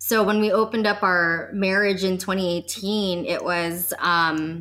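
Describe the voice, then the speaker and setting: A woman speaks with an unremarkable speaking voice at medium pitch and fairly even intonation. The recording is very clean, with a silent background. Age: 30s. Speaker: sex and relationship coach. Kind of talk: casual chat.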